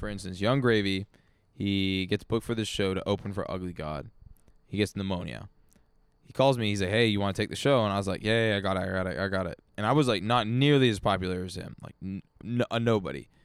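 Ordinary pitch variation at a very fast pace. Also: man, fairly low pitch for a man. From Vancouver, Canada. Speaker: musician. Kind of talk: casual chat. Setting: backyard studio.

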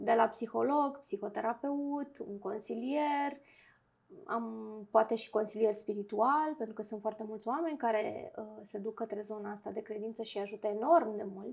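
At a moderate pace, a woman speaks in a plain, everyday voice, fairly high in pitch with ordinary pitch variation and big swings in loudness. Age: 40s. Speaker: clinical psychologist. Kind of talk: interview.

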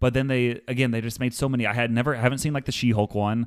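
The speech is very fast, on a very clean recording with a silent background. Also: man. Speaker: podcast co-host. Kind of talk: casual chat.

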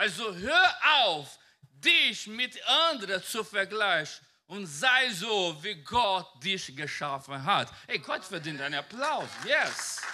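A man talks very slowly in a raised, projected voice that is high for a man. His pitch swings very widely. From Brazil. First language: Portuguese (speaking German). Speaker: pastor. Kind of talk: sermon. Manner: animated.

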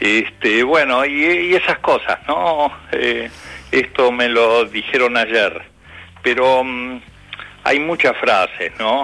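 Noticeable background noise surrounds a man speaking at a very slow pace. His pitch is medium and his loudness very even. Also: ordinary pitch variation. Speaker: retired teacher and author. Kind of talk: casual chat.

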